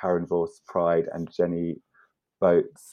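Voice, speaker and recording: Very slow speech with a London accent. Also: man, quiet background. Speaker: artist and curator. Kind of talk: casual chat.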